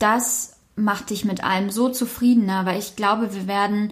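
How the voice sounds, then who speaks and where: Monotone, flat intonation from a somewhat breathy woman at medium pitch. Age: 20s. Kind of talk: casual chat.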